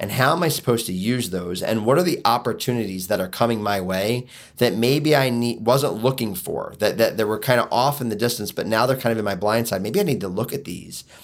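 A man with an American accent talks at a fairly quick pace in a medium pitch, with ordinary pitch variation and hardly any pauses. The recording is very clean, with a silent background. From Philadelphia, US. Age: 40s. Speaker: inspirational speaker and author. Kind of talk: podcast interview.

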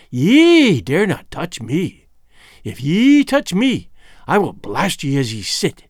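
A man's shrill, fairly high put-on character voice, slow and full of very wide pitch swings

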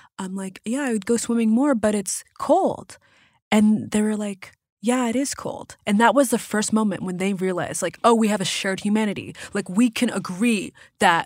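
With an American accent and a plain, everyday voice, a woman speaks at a moderate pace and fairly high pitch with ordinary pitch variation, on a very clean recording with a silent background. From Massachusetts. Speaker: comedian and talk show host. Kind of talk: casual chat. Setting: studio.

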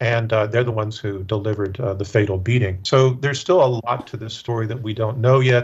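A man with an American accent talks at a medium pitch and a fairly quick pace, with hardly any pauses. His voice is somewhat breathy, with fairly even intonation. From US South, Memphis. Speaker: politics professor. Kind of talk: panel discussion. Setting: studio.

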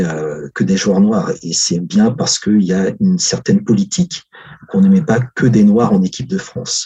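A man speaks at a fairly slow pace in a fairly low voice with a dark, mellow tone and very wide pitch swings. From Africa. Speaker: historian. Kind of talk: interview.

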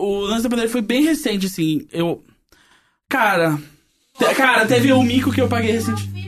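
A man speaks at a fairly quick pace. His speech is broken by long, frequent pauses. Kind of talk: casual chat.

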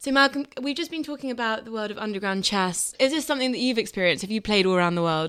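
A woman in a British accent, fairly high-pitched, very fast, with lively intonation. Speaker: podcast host and editor. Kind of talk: podcast hosting.

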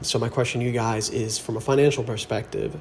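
A man with an American accent at a moderate pace, with ordinary pitch variation and noticeable background noise. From New Jersey. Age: 20s. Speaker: caller. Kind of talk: voice memo question.

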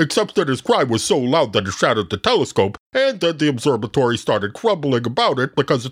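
The clip features a natural reading voice. The text comes across as read in that manner.

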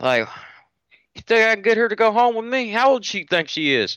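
A man with a high pitch uses a raised, projected voice at a moderate pace, bright and sharp in tone. The sound is dry and close with no echo, on a very clean recording with a silent background. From rural area. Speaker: police officer. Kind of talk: casual chat.

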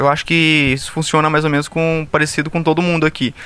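His voice is fairly high in pitch, and the man talks very fast. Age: 20s. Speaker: pharmacy student. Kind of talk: casual chat. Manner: loud.

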